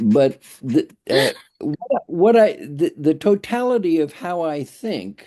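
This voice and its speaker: A man speaks in a dark, mellow tone, his pitch swinging very widely. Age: 80s+. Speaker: community member. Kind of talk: casual chat. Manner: halting.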